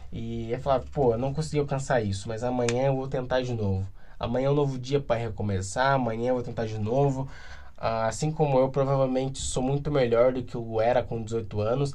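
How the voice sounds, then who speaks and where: A man's medium-pitched voice with a dark, mellow tone, a fairly quick pace and audible room echo. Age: 20s. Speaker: podcaster. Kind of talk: casual solo monologue.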